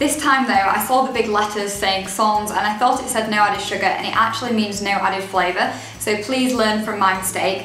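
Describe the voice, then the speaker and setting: A woman speaks at a fairly high pitch and a fairly quick pace with hardly any pauses and fairly even intonation. Audible room echo and faint music in the background are present. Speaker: dietitian and blogger. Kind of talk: casual talk to camera. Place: home room. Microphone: camera far.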